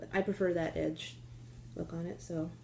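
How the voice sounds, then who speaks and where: Soft-spoken, a woman talks at a fairly slow pace. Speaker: knitting podcaster. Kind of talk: casual chat. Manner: hesitant, many fillers.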